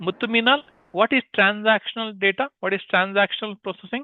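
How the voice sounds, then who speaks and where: Speaking at a fairly quick pace with an Indian accent, a man uses a high pitch and ordinary pitch variation. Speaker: teacher. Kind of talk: live online class. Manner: interactive, questioning students.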